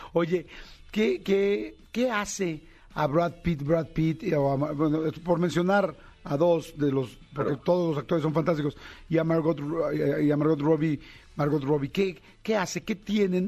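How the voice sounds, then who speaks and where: The voice has a dark, mellow tone with a Mexican accent. Loudness stays very even, and the pitch varies in an ordinary way. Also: man, fairly high pitch for a man, fairly slow pace. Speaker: radio host. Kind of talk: interview. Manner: animated.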